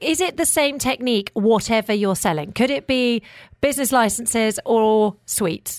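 A woman with a normal speaking voice, pitched fairly high, talks at a moderate pace with lively intonation and very even loudness, recorded dry and close with no echo in a very clean recording, silent background. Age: 40s. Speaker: radio host. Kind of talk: radio show hosting. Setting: radio studio.

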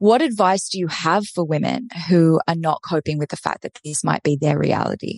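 Against a quiet background, a woman speaks in a normal speaking voice at a fairly low pitch and moderate pace, her intonation lively and the sound dry and close with no echo. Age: 30s. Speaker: dating and relationship coach, podcast host. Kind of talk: interview.

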